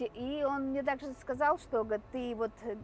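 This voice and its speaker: A woman speaks with a Mari El accent at a moderate pace. Her pitch varies in an ordinary way. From Mari El, Russia. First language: Mari (speaking Russian). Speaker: vlogger. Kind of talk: casual vlog talk. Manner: hesitant, many filler sounds.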